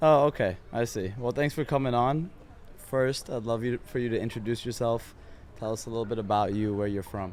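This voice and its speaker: Using an unremarkable speaking voice at medium pitch, a man talks fairly quickly with ordinary pitch variation. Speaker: podcast host, company co-founder. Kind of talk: casual podcast interview.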